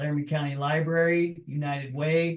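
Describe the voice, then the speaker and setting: This man's voice is somewhat breathy. His intonation stays fairly even. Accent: American. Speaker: political candidate. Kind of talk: candidate forum introduction.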